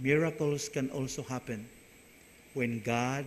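A man with a fairly high voice speaks at a very slow pace. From Philippines, Visayas/Mindanao. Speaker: priest giving homily. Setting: church. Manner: earnest, animated preaching; conversational, warm, story-telling. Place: church. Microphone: podium.

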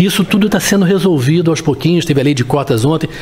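A man talking at a very fast pace. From Brazil. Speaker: interviewer and show host. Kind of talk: interview. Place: office. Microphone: studio mic.

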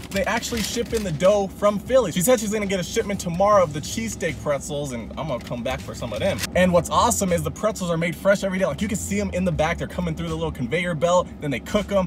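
A man talks at a very fast pace with lively intonation and hardly any pauses. The sound is dry with no echo, with music in the background. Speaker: food reviewer. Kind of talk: casual vlog chat. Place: car. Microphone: phone near.

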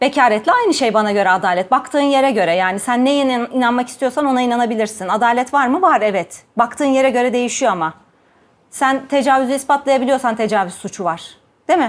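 In an animated tone, a woman speaks at a very fast pace and high pitch with ordinary pitch variation. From Ankara, Turkey. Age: 40s. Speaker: gynecologist and sexologist. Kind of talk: personal testimony and talk to camera.

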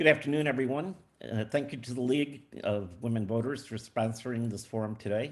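A fairly quick, medium-pitched male voice in an American accent, its pitch moving in a normal way. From US Midwest, Lake Forest, Illinois. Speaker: school board candidate. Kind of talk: candidate forum opening statement.

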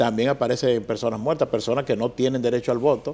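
Talking at a very fast pace, a man has a dark, mellow tone and fairly even intonation. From Dominican Republic. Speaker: newspaper editor; TV guest. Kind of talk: political commentary. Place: studio. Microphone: lapel.

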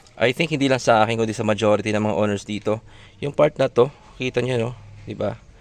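A man rattles along very fast at a medium pitch, his pitch varying normally. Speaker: car owner vlogger. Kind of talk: tutorial. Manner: casual, conversational.

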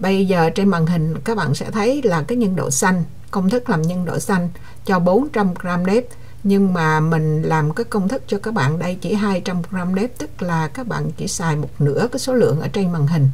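This woman has a plain, everyday voice, pitched fairly low. Her intonation is lively and her pace moderate. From Vietnam, Quang Nam. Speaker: cooking channel host. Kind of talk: cooking tutorial. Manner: casual, chatty.

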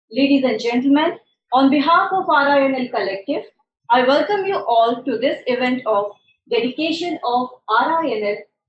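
Audible room echo over light background noise. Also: woman. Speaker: event host. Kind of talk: formal welcome speech. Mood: formal, ceremonial. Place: meeting room.

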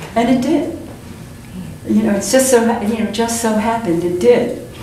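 In a room with audible echo and light background noise, a woman with an American accent talks at a moderate pace, her fairly high pitch varying in an ordinary way. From New Jersey. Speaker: visual artist. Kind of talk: public talk. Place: hall. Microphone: camera far.

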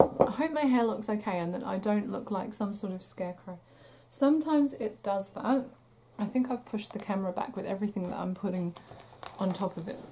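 Speaking fairly quickly, a woman talks in a British accent. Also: medium pitch for a woman, ordinary pitch variation. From UK. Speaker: crochet podcaster. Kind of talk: casual chat. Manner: chatty, with fillers.

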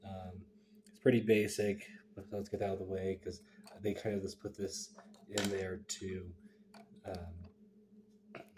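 A man with a fairly low pitch speaks at a fairly slow pace in a somewhat breathy, monotone, flat voice, leaving long, frequent pauses. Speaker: toy reviewer. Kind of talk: casual review talk to camera.

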